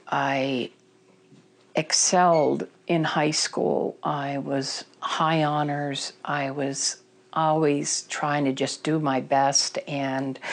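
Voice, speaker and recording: A woman's very deep, low voice with an American accent, very slow and monotone. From Vermont, US. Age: 60s. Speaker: person in recovery. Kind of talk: testimony. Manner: halting.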